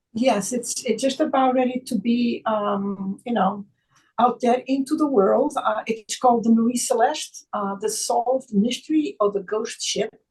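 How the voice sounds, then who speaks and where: The speaker talks at a fairly slow pace. There is a Portuguese accent. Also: woman, high pitch for a woman, ordinary pitch variation. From Portugal. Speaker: author and chiropractor. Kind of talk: casual chat. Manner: halting, with many fillers.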